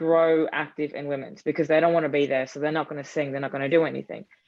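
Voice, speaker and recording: Speaking with an Australian accent, the woman has a very deep, low pitch. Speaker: football supporter group leader. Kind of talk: panel discussion. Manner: animated.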